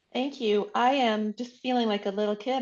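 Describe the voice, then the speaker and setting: A woman with a fairly high pitch speaks with ordinary pitch variation. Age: 60s. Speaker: patient sharing recovery story. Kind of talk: interview testimony. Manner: hesitant, many fillers.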